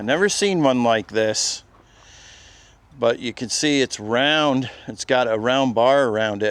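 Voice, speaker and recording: In an unremarkable speaking voice, a man talks at a fairly slow pace, medium in pitch with ordinary pitch variation. The sound is dry and close, with no echo. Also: quiet background. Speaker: YouTuber touring an auction preview. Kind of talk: walkthrough video commentary.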